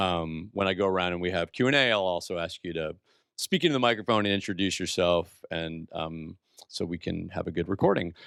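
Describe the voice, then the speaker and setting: A man speaks in a very deep, low voice at a fairly quick pace. His pitch varies in an ordinary way over a quiet background. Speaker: executive director of an entrepreneurship institute, event host. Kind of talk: event introduction to live audience. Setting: small room with audience, microphone, livestreamed. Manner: loud; casual, filler-heavy.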